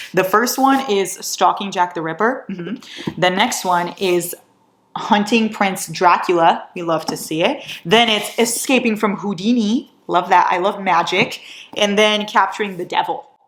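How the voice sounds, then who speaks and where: The woman's tone is animated, with ordinary pitch variation. Her pitch is medium. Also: fairly slow pace. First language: not English. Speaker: book vlogger. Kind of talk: casual vlog haul.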